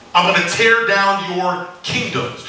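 The man talks at a fairly slow pace. Light background noise and audible room echo are present. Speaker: preacher. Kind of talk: sermon. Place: church.

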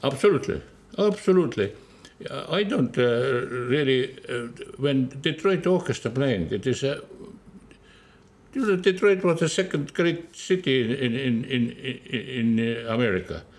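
A man with an Estonian accent speaks at a fairly slow pace. His pitch is medium and his intonation lively. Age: 80s+. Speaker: orchestra conductor. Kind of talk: interview answer.

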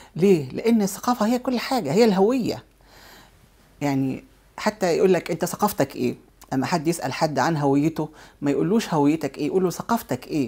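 This woman has a dark, mellow tone and a fairly low pitch with very wide pitch swings. She speaks at a moderate pace against a quiet background. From Egypt. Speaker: businesswoman and cultural center head; guest. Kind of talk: TV interview. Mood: warm, earnest. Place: studio.

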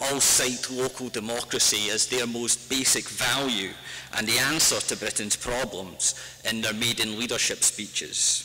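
A man's intonation stays fairly even as he talks at a fairly slow pace. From Scotland. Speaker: author and activist. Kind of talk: public talk. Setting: stage with audience. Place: hall. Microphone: podium.

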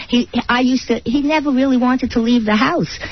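Noticeable background noise sits behind a woman with a New York accent. She talks at a fairly quick pace. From Brooklyn, New York. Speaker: author, widow of a mobster. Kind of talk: radio interview answer.

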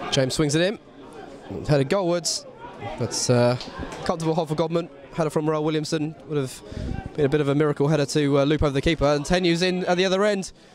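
A very fast man's voice, fairly high in pitch, with crowd noise in the background. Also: ordinary pitch variation, very even loudness. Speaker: match commentator. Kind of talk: live football commentary with a scripted-style intro and post-match link. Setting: stadium, commentary over match footage.

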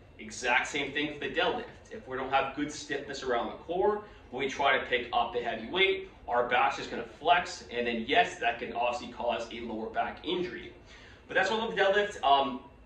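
A man's fairly quick speech, with light background noise and audible room echo. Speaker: fitness or physical therapy educator. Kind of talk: explanatory podcast-style talk. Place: office.

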